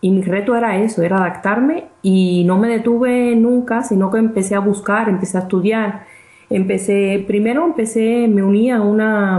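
A woman talks at a medium pitch and a moderate pace against noticeable background noise. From Cuba. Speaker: physicist and real estate investor. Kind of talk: interview.

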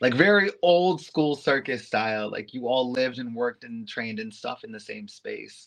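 Here a man with an American accent speaks in an unremarkable speaking voice at medium pitch. His pace is moderate, with big swings in loudness. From New York City (Harlem). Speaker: go-go dancer and aerialist. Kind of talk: casual interview chat.

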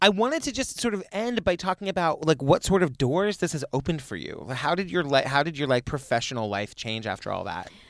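With vocal fry and a fairly high pitch, a man talks at a fairly quick pace with hardly any pauses and very wide pitch swings, the sound dry and close with no echo. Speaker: podcast host. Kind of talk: interview conversation.

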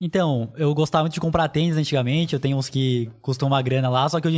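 On a very clean recording with a silent background, a man with an ordinary speaking voice talks at a fairly high pitch with fairly even intonation. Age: 20s. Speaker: finance YouTuber. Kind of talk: casual interview.

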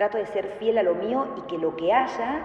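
Noticeable background noise sits behind a woman with a medium pitch. Her intonation is lively. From Argentina, grew up in San Francisco (Córdoba) and Salta. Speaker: ballet teacher and dancer. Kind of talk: interview.

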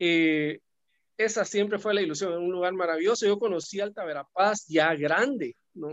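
A man with a Guatemalan accent speaks at a moderate pace. His pitch sits high. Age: 50s. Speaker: businessman. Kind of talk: casual chat.

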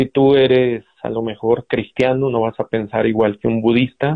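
This man has a normal speaking voice, a medium pitch and a fairly slow pace. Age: 30s. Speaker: physician. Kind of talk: interview.

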